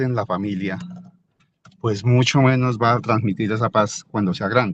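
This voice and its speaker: The voice belongs to a man. Its pitch moves in an ordinary way. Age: 60s. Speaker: merchant, participant in alumni dialogue. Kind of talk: personal testimony in online panel. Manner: halting, many repetitions.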